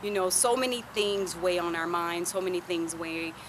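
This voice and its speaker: With an American accent, a woman speaks at a fairly quick pace in a fairly low pitch amid noticeable background noise. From US South. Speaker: vlogger. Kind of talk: personal vlog talk. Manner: casual, conversational.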